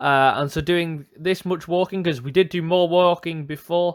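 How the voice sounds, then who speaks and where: A man speaks at a high pitch in a very clean recording with a silent background. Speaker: railway vlogger. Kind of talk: walking vlog commentary. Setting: outdoors. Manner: hesitant, many fillers.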